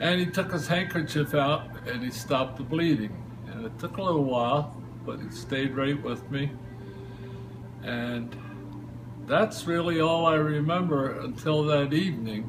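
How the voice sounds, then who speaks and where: A man with an American accent speaks at a fairly high pitch with ordinary variation, leaving long, frequent pauses. Noticeable background noise and audible room echo fill the recording. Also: moderate pace. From New Jersey, Princeton. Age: 70s. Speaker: local storyteller. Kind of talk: personal anecdote interview. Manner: halting, filler words.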